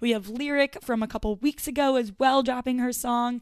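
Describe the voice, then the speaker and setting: In a very clean recording with a silent background, a woman talks in an ordinary speaking voice with ordinary pitch variation. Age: 20s. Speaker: podcast host. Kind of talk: casual chat.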